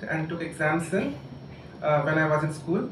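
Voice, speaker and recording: Noticeable background noise is present. A man talks with audible room echo around him. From India, Jharkhand (Ghatshila). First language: Santhali. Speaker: writer and doctor. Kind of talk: public talk. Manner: halting, many fillers.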